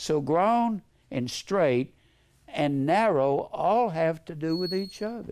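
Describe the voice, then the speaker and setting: A man's high-pitched, lively voice at a very slow pace, with light background noise. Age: 80s+. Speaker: preacher; bible teacher. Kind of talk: sermon. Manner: rambling, conversational. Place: classroom. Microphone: headset.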